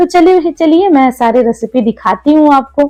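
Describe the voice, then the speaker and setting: With a Malayalam accent, a woman speaks in a high pitch with lively intonation. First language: Malayalam (speaking Hindi). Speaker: homemaker vlogger. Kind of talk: vlog narration and cooking tutorial. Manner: casual, conversational.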